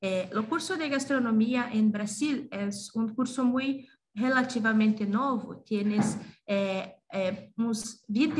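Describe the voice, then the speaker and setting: A woman's somewhat breathy voice at a very slow pace, with ordinary pitch variation and audible room echo. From Brazil. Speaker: gastronomy teacher and researcher. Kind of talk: conference presentation. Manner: halting, many fillers.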